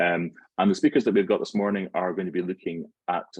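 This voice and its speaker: A man with an Edinburgh accent at a very fast pace. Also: dry, close sound with no echo. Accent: Scottish (Edinburgh). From Scotland, suburban Edinburgh. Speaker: network forum host / facilitator. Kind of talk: meeting introduction.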